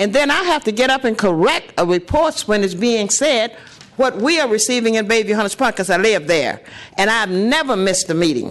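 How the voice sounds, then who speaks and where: The pitch swings very widely. It belongs to a woman. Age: 80s+. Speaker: public commenter at city meeting. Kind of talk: public comment testimony. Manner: impassioned.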